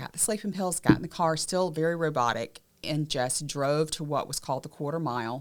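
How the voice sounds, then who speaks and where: A woman speaks in a Southern US accent with lively intonation. Her pace is moderate. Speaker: abuse survivor and advocate, podcast co-host. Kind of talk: personal testimony in podcast conversation.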